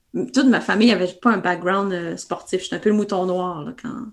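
Recorded very cleanly against a silent background, a woman speaks at a medium pitch with ordinary pitch variation and vocal fry. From Quebec. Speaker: ultra-trail runner and running coach. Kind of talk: interview.

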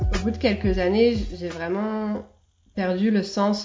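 The woman speaking keeps her intonation fairly even. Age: 30s. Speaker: doula. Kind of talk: interview monologue. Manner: hesitant with fillers.

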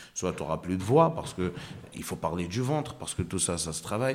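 Lively intonation runs through a man's very deep, low voice. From Morocco and Ivory Coast. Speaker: comedian. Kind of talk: interview chat.

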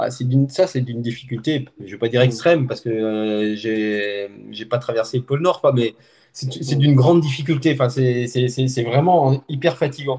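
A man speaks slowly in a medium-pitched, somewhat breathy voice. His tone is dark and mellow, with ordinary pitch variation. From France, Haute-Savoie. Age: 50s. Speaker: journalist and trail runner filming races. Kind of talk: casual interview chat.

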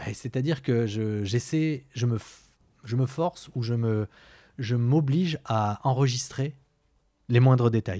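A man speaks very slowly at a medium pitch with ordinary pitch variation and a dark, mellow tone. The recording is very clean with a silent background, dry and close with no echo. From southwest France (Pau). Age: 40s. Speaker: podcast guest. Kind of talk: personal testimony. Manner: halting.

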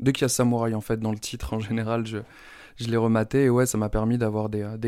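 Over a silent background in a very clean recording, a man speaks fairly quickly at a medium pitch, in a dark, mellow tone with monotone, flat intonation. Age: 30s. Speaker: comic book author. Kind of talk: interview. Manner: halting, many repetitions.

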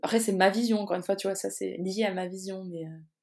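Pitch variation is ordinary. The pace is fairly quick. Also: woman. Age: 20s. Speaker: social media consultant. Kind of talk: casual interview. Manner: spontaneous, animated.

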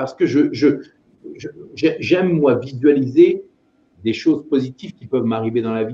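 With a dark, mellow tone and a somewhat breathy quality, the speaker moves at a fairly slow pace, leaving long, frequent pauses, using ordinary pitch variation, and showing big swings in loudness. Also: man. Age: 50s. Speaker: entrepreneur and voice actor. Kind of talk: interview conversation. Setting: video call. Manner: hesitant, repeats words.

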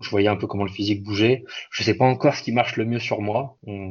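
Delivering words very fast but with long, frequent pauses, a man speaks with fairly low pitch and fairly even intonation. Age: 20s. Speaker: bodybuilder and fitness coach. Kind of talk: casual interview. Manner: halting.

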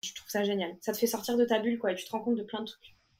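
A woman talks at a very fast pace. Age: 20s. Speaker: master's student. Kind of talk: casual chat. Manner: animated.

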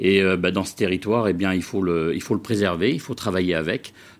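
This is a man speaking. His pitch sits fairly low. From Vendée, western France. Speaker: cereal farmer. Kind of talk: TV interview. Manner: halting.

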